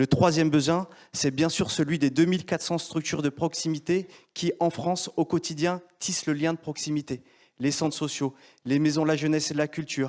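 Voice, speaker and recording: In a normal speaking voice, a man talks at a fairly quick pace with fairly even intonation and a fairly high pitch, on a very clean recording with a silent background. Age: 40s. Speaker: entrepreneur. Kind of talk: pitch presentation. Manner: formal.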